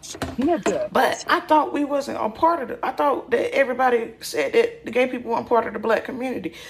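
Noticeable noise can be heard behind the voice. The delivery keeps to a moderate pace. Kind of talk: heated casual commentary. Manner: blunt, emphatic.

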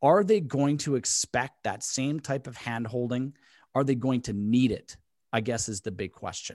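A man's unremarkable speaking voice, medium in pitch, at a moderate pace, with a dry, close sound and no echo. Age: 40s. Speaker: podcast host, real estate broker. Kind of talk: interview.

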